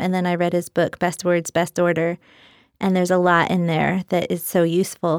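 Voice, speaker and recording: A woman's fairly low voice at a moderate pace, dry and close with no echo, on a very clean recording with a silent background. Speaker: poet. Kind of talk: interview with poetry reading. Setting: studio.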